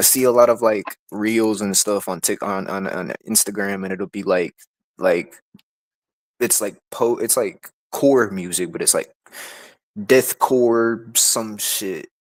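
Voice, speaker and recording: Taking long, frequent pauses, a man with a fairly low pitch and fairly even intonation speaks at a fairly slow pace, the sound dry and close with no echo. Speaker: musician. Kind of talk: casual interview. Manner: monotone.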